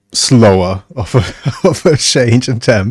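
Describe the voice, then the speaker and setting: A medium-pitched man with a slight British accent talks on a very clean recording with a silent background. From Germany. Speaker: video game streamer. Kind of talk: casual chat. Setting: livestream.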